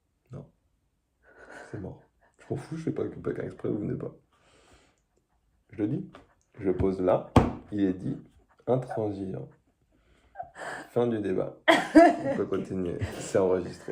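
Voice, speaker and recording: A man talks at a very slow pace, with long, frequent pauses and big swings in loudness. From France, Strasbourg (Alsace). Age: 20s. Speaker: engineer, reality show applicant. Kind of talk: casual self-presentation video.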